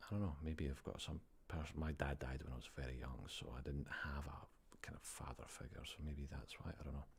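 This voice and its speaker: This man's voice is very deep and low, with vocal fry. His intonation stays fairly even. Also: fairly quick pace. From Scotland. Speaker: ASMR livestreamer. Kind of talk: live stream chat with viewers. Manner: soft-spoken; tired-sounding.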